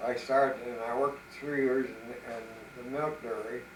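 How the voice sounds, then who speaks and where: An American-accented man speaks at a fairly slow pace with a medium pitch and monotone, flat intonation. Noticeable background noise and audible room echo are present. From Buffalo, western New York. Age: 90s. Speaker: grandfather telling life story. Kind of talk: life-story interview. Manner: halting, hesitant.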